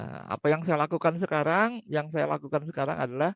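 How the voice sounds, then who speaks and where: A man with a normal speaking voice, in a dry, close sound with no echo. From Indonesia (Surabaya, East Java). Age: 60s. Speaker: corporate trainer. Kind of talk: casual interview chat.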